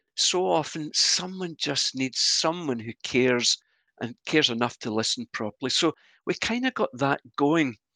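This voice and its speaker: Speaking in a Glasgow accent, a man uses a fairly high pitch, lively intonation and a bright, sharp tone. The recording is very clean with a silent background, and the sound is dry and close with no echo. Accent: Scottish (Glasgow). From Scotland, Glasgow. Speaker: church minister. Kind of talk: interview conversation.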